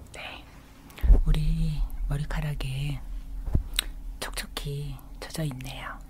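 A woman whispers at a very slow pace. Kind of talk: ASMR roleplay talk to the viewer. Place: home room.

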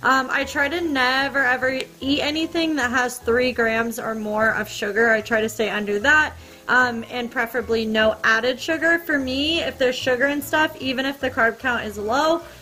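Faint music plays behind a woman who speaks at a high pitch with hardly any pauses. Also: ordinary pitch variation, moderate pace. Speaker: home cook vlogger. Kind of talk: casual cooking tutorial chat. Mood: relaxed, playful. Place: kitchen. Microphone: camera far.

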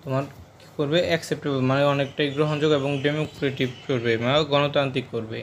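A man with a fairly high pitch talks in a monotone, flat intonation. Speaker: online tutor for school English. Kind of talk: tutorial.

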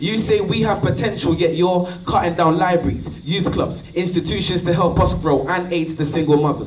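Over light background noise, a man with a high voice talks at a moderate pace with fairly even intonation. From UK. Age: young. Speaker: spoken word poet. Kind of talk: spoken word poetry performance. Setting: live comedy show stage. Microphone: camera far.

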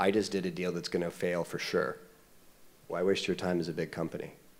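A man speaks with a very deep, low pitch. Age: 40s. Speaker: startup CEO; panelist. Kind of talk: panel discussion. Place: stage. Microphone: handheld.

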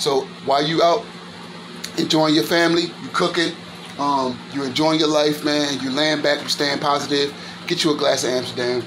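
Noticeable background noise sits behind a man whose intonation stays fairly even. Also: moderate pace. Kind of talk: casual cooking tutorial. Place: kitchen. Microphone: phone near.

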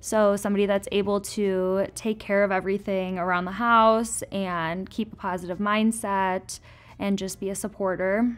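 A woman talks at a moderate pace. Her intonation stays monotone and flat. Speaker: interviewee. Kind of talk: casual group discussion. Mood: calm, friendly. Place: home room.

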